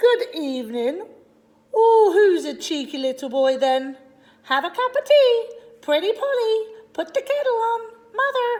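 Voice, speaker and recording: A woman puts on a squeaky character voice at an extremely high pitch, with very wide pitch swings. She keeps a moderate pace, broken by long, frequent pauses. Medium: read story. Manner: squawky mimicking chatter.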